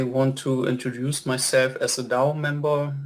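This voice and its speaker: A man's medium-pitched voice moves at a very slow pace, its intonation monotone and flat. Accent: non-native. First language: not English. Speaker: community member and council candidate. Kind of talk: community call self-introduction. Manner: hesitant, many fillers.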